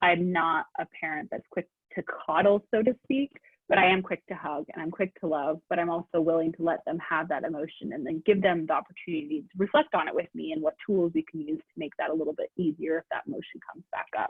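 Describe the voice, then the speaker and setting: At a very fast pace, a woman with an American accent and a fairly low pitch talks with ordinary pitch variation and big swings in loudness. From Oregon. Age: 30s. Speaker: CBD product maker. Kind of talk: interview.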